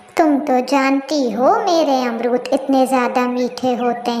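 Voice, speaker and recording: Slow-ish and high-pitched, a female-sounding cartoonish character voice comes through clear background noise and a slight echo. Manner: chatty, expressive.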